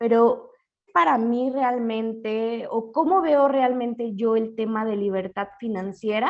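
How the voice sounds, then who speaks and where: A woman with an ordinary speaking voice talks at a fairly slow pace. Her pitch is fairly high, with ordinary variation. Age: 30s. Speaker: financial educator. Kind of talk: webinar lecture.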